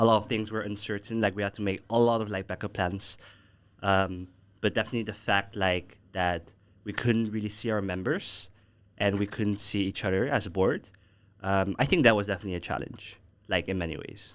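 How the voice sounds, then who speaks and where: A man's unremarkable speaking voice, fairly low in pitch, fairly quick in pace, with fairly even intonation, on a very clean recording with a silent background. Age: 20s. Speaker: alumni guest, former student association president. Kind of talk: casual chat. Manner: casual, filler-heavy.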